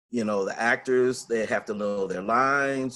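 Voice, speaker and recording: A normal speaking voice, a man with an American accent, medium pitch, fairly even intonation and a moderate pace. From Los Angeles, California. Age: 60s. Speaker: retired purchasing agent turned actor. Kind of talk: interview. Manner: conversational, with frequent fillers.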